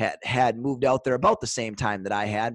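With an Upper Midwest accent, a man talks over a quiet background in a dry, close sound with no echo. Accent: Upper Midwest American. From US Upper Midwest (Superior, Wisconsin / Duluth). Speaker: sales trainer. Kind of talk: casual chat.

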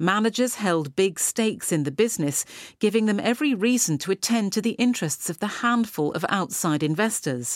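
Lively in intonation, a woman with a normal speaking voice talks at a fairly quick pace. The recording is very clean, with a silent background. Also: medium pitch for a woman, dry, close sound with no echo. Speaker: newsreader. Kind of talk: news reading, scripted.

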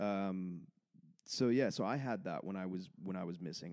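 In a Canadian accent, a man with a very deep, low voice and a dark, mellow tone speaks at a moderate pace with ordinary pitch variation on a very clean recording with a silent background. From Canada, Vancouver area. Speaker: comedian. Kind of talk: casual chat. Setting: studio.

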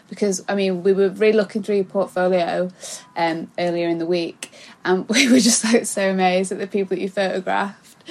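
Over noticeable background noise, a woman speaks fairly quickly at a medium pitch with fairly even intonation. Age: 20s. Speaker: podcast co-host. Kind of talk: casual interview.

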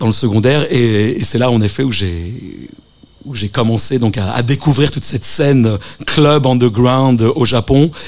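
Using ordinary pitch variation, a man of medium pitch speaks at a fairly slow pace. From Japan (Tokyo), French family. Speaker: DJ and compilation curator. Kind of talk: radio interview. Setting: radio studio. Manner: halting, many fillers and repetitions.

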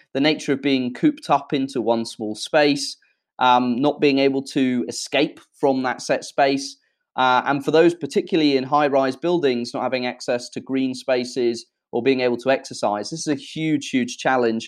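A man speaks with a British accent at medium pitch and a moderate pace. His intonation stays fairly even over a quiet background. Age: 20s. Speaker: social enterprise founder. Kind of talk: interview. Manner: hesitant, many fillers.

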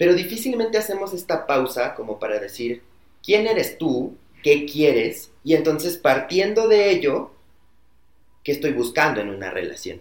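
A man speaks at a moderate pace with vocal fry, his fairly high pitch swinging very widely. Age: 20s. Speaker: corporate customer experience employee. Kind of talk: casual chat.

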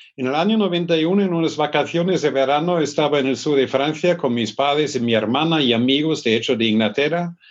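A man with a German accent talks at a fairly quick pace, hardly pausing. His loudness is very even, with ordinary pitch variation. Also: fairly high pitch for a man. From northern Germany, north of Hamburg. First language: German (speaking Spanish). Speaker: business school professor. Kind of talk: interview. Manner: hesitant, frequent fillers.

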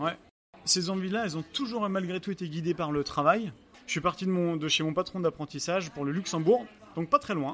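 This man talks at a fairly quick pace in a high voice. His pitch varies in an ordinary way. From France, Angers (Pays de la Loire). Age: 30s. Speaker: restaurant owner and pastry chef. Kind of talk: interview. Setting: restaurant during service. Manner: halting.

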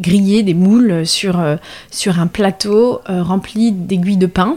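A woman of medium pitch speaks with a dark, mellow tone and fairly even intonation. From western France, La Rochelle. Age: 30s. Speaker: artisanal fish smoker, business co-founder. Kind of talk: interview testimony. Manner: hesitant with many fillers.

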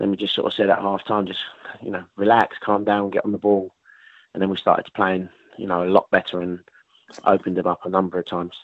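The speech runs at a very fast pace with monotone, flat intonation, broken by long, frequent pauses. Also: man, fairly low pitch for a man. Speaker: football manager. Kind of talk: post-match interview. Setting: phone call.

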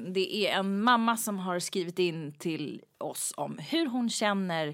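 Over a silent background in a very clean recording, the speaker talks at a very slow pace with ordinary pitch variation. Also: woman. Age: 40s. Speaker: podcast co-host. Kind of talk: casual chat.

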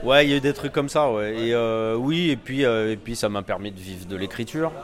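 Delivered at a moderate pace with ordinary pitch variation, the voice sits over noticeable background noise. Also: man. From Paris suburbs, Val-de-Marne. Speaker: writer. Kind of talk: casual interview. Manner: hesitant, many fillers.

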